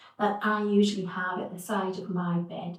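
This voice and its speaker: Clear background noise can be heard. A woman talks over it. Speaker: yoga teacher. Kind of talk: yoga class introduction.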